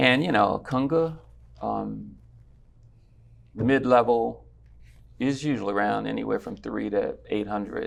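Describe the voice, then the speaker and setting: Long pauses come often in this man's speech. Overall he talks fairly slowly. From Washington DC. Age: 60s. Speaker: conga player. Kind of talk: interview. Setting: studio. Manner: casual, hesitant with fillers.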